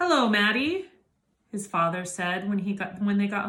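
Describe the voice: Against a quiet background, this plain reading aloud carries lively intonation.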